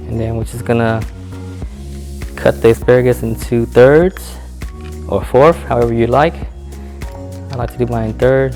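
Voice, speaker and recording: A soft-spoken man with a very deep, low pitch, very wide pitch swings, big swings in loudness and long, frequent pauses over music in the background. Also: moderate pace. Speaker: home cook. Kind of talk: casual cooking tutorial to camera.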